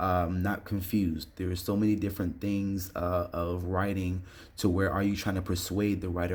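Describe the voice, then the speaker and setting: A man speaks with a very deep, low pitch and a somewhat breathy sound. His intonation stays monotone and flat. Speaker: online English instructor. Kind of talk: tutorial. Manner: fast; casual with filler words.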